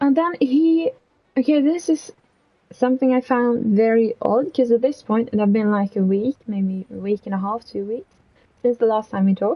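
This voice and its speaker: Soft-spoken, a woman with a non-native accent uses a fairly high pitch and lively intonation. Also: moderate pace. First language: not English. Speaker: streamer. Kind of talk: casual storytelling stream. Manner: quiet, soft-spoken; hesitant, filler-heavy.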